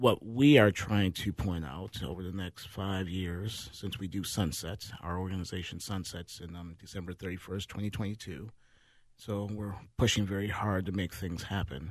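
A man with a very deep, low voice speaks in an American accent at a moderate pace with fairly even intonation. His loudness swings widely against a quiet background. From Minneapolis, Minnesota (North Side). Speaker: nonprofit managing director. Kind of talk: panel discussion. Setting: studio.

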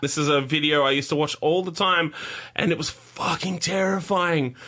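High-pitched male voice in an Australian accent, bright and sharp in tone, at a fairly slow pace with ordinary pitch variation. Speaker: podcast host. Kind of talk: casual chat. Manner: animated.

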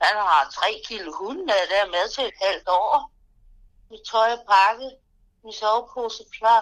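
Speaking at a very slow pace, a woman uses a fairly high pitch with ordinary pitch variation. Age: 50s. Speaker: interviewee. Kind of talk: interview.

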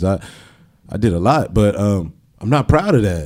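Speaking fairly quickly with lively intonation, a man with an American accent has a fairly low pitch and a dark, mellow tone. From San Diego, California (raised from age seven; earlier Norfolk, Virginia). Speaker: cannabis dispensary employee and performer. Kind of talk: casual interview. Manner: animated, laughs often.

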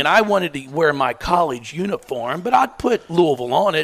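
The voice swings very widely in pitch with an animated tone, at a moderate pace. Noticeable noise sits in the background. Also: man. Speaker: basketball coach. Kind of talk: casual chat. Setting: stage with audience.

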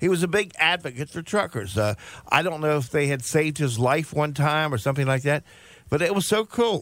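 A man with an American accent has a normal speaking voice with a fairly high pitch. He speaks at a fairly quick pace with lively intonation. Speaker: radio talk show host. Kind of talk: call-in radio talk show, bantering.

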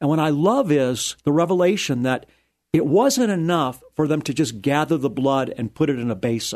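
A man talks at a moderate pace against a quiet background, in a plain, everyday voice. His fairly high pitch carries lively intonation. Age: 60s. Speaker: rabbi and radio Bible teacher. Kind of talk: radio interview. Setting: studio.

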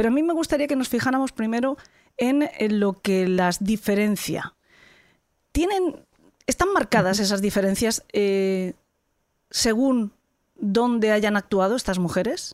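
This woman speaks at a fairly slow pace in a fairly high voice, her loudness very even and her intonation lively, with long, frequent pauses. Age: 50s. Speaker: podcast host. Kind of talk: interview; scripted narration.

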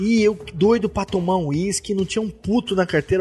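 A man with a high pitch, fairly quick pace and noticeable background noise. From interior of São Paulo state, Brazil. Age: 30s. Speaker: podcaster. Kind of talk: casual chat.

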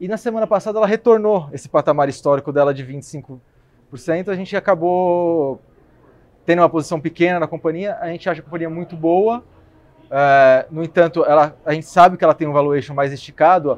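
The speech moves at a fairly quick pace with ordinary pitch variation and big swings in loudness. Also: man, high pitch for a man. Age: 20s. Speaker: equity analyst. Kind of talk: casual chat. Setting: café.

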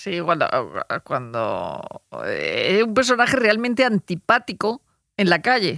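A woman talks at a very slow pace, recorded with a dry, close sound and no echo. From Murcia, Spain. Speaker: journalist. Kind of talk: casual chat. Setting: studio.

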